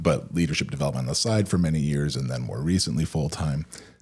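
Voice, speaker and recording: A man's very deep, low voice with vocal fry, at a fairly quick pace with ordinary pitch variation. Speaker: leadership coach. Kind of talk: interview. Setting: studio.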